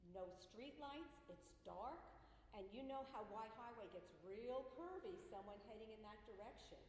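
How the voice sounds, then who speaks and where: Through noticeable background noise and audible room echo, a woman talks at a moderate pace with ordinary pitch variation. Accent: American. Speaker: resident speaking at public hearing. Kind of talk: public comment. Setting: public meeting hall with microphone.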